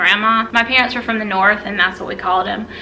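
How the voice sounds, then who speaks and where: A woman with an American accent, fairly high in pitch and fairly even in intonation, against noticeable background noise. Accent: Southern, lighter than in childhood. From US South, South Carolina. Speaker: YouTuber. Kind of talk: casual chat.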